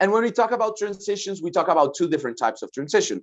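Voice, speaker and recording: Speaking with a Spanish accent, a man uses lively intonation. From Colombia. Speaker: lawyer and human rights advisor. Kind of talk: lecture. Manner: fast.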